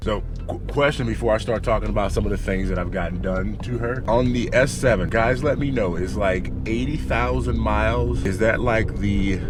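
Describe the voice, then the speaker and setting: Over music in the background, a man with a very deep, low pitch talks at a moderate pace with very wide pitch swings and hardly any pauses, and room echo is audible. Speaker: car vlogger. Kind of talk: casual vlog.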